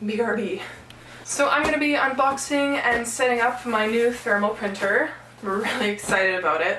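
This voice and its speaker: Noticeable background noise runs under the recording. A woman speaks at a moderate pace. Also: fairly high pitch for a woman, ordinary pitch variation. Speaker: reseller. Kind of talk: casual talk to camera.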